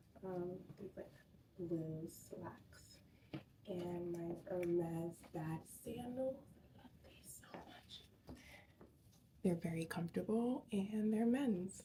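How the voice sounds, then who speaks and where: With long, frequent pauses and a very slow pace, a woman speaks in a dark, mellow, somewhat breathy voice of fairly low pitch, with big swings in loudness. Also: ordinary pitch variation. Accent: American. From New York City, Queens. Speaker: educator and vlogger. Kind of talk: casual vlog narration. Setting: at home and in car, early morning. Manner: whispering.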